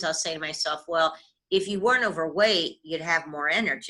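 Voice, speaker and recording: This woman talks at a fairly quick pace with a bright, sharp tone. Her pitch varies in an ordinary way. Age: 60s. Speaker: workshop participant. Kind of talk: casual chat.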